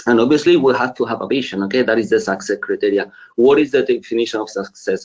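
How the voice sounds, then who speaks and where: A man speaks with a Spanish accent. His pace is very fast. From Spain. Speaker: finance executive. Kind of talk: webinar presentation.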